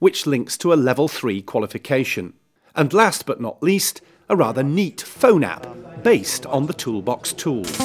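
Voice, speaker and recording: A man with fairly high pitch and vocal fry talks at a moderate pace, his pitch swinging very widely. The recording is very clean with a silent background. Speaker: video reporter. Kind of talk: video report presentation.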